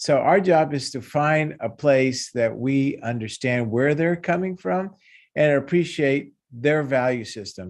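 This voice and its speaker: A man with a Spanish accent speaks in a fairly high pitch. His pitch varies in an ordinary way against a quiet background. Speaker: cultural neuropsychologist. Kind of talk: panel discussion.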